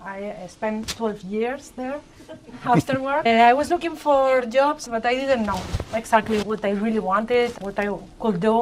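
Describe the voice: A woman speaks with a Spanish accent. Her pitch is fairly high.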